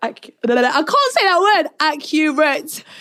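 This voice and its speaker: A woman speaks loudly with lively intonation. She has a British accent. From Northern Cyprus. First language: Turkish. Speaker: reality TV contestant. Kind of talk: casual interview chat.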